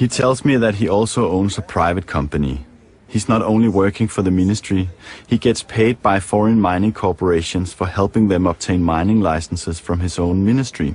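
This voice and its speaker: A man speaks in a very deep, low voice with a Danish accent. His pace is fairly quick, his pitch varies in an ordinary way, and his loudness stays very even. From Denmark. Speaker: documentary filmmaker. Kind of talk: interview; documentary narration.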